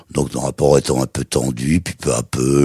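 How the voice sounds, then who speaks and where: Noticeable background noise sits under a dry, close sound with no echo. A man with a very deep, low pitch speaks at a moderate pace with fairly even intonation. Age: 80s+. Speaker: TV presenter. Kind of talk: interview answer.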